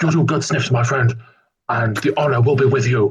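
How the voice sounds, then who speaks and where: In a put-on character voice, a man talks at medium pitch and a moderate pace. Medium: actual play. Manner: formal, whimsical.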